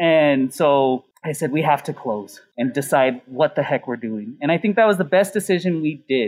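A man speaks in a normal speaking voice with an American accent. His pitch is fairly high, his intonation lively and his pace moderate. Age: 40s. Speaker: chef and restaurant owner. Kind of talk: casual chat.

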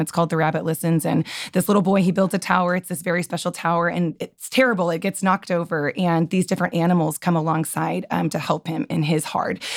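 A woman's fairly low voice at a very fast pace, in a very clean recording with a silent background. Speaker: podcast guest. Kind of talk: casual chat.

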